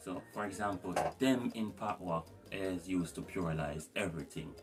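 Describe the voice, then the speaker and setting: A man with a Jamaican accent and a very deep, low pitch, at a moderate pace, with music in the background. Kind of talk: language tutorial to camera. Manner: casual.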